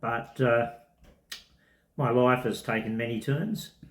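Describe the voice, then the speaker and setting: A somewhat breathy man at a very slow pace, medium in pitch, with ordinary pitch variation. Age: 70s. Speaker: semi-retired tennis coach. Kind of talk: testimony interview.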